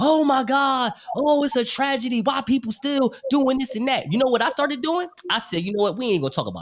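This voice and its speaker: A man talks at a fairly quick pace in an extremely high pitch. His tone is animated, with ordinary pitch variation. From New York. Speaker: podcaster. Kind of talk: casual chat. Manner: fast.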